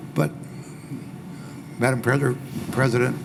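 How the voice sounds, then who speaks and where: Audible room echo and noticeable background noise both fill this clip. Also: man. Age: 80s+. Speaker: former agency president. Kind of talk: panel discussion. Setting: small room with audience.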